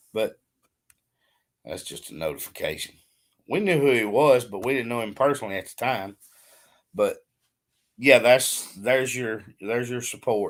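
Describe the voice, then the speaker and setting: A man's medium-pitched voice with a slight Southern US accent, moderate pace, ordinary pitch variation, big swings in loudness and long, frequent pauses, in a very clean recording with a silent background. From Alabama. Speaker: farmer. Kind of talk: casual chat.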